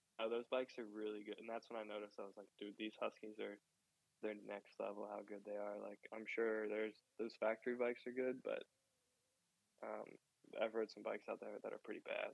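A man with a Mid-Atlantic American accent speaks at a fairly quick pace, broken by long, frequent pauses. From Maryland, US. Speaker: professional motocross rider. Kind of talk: interview. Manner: casual, filler-heavy.

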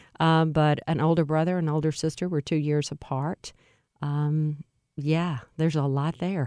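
A woman speaks in a very deep, low pitch with a dark, mellow tone and a slight Louisiana accent. Her intonation is monotone and flat, and the sound is dry and close with no echo. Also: moderate pace. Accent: slight Louisiana Southern. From central Louisiana. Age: 50s. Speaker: nonprofit executive. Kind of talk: interview conversation. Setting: studio.

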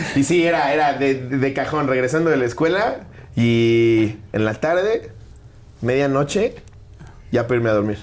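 A man with a Mexican accent keeps his loudness very even while taking long, frequent pauses. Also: medium pitch for a man, ordinary pitch variation, moderate pace. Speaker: stand-up comedian. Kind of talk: casual interview chat.

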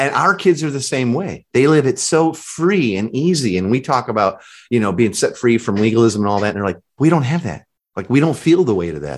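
A man speaks at a fairly quick pace in an American accent, his medium-pitched voice energetic and swinging very widely in pitch, on a very clean recording with a silent background. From US Midwest, Chicago. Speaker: author and discipleship coach. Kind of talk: casual interview.

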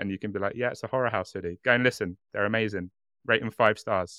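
A man with a British accent speaks very fast in a bright, sharp tone at a fairly low pitch, his voice dry and close with no echo over a quiet background. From Britain. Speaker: true crime podcast co-host. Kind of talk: casual chat with storytelling. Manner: animated.

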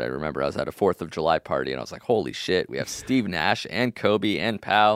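A man with an American accent speaks at a very fast pace in a very deep, low pitch with vocal fry, the sound dry and close with no echo. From Los Angeles. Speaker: podcast host, guest. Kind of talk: casual chat. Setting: remote call.

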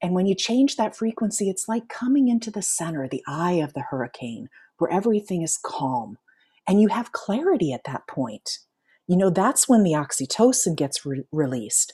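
This woman speaks at a medium pitch with very wide pitch swings and vocal fry. Her tone is dark and mellow, and the recording is very clean with a silent background. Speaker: life coach and author. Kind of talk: interview. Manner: slows and lowers voice when guiding relaxation.

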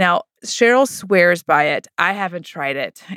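Over a very clean recording with a silent background, a woman uses an ordinary speaking voice with lively intonation. Her pitch is fairly low, and the sound is dry and close with no echo. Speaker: podcast co-host. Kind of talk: casual interview chat.

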